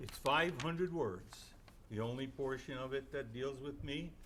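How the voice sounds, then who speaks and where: There is vocal fry in this man's medium-pitched voice as he speaks at a moderate pace with ordinary pitch variation, and audible room echo. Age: 70s. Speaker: city council member. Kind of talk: public statement at council meeting. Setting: city council chamber. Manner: indignant, emphatic.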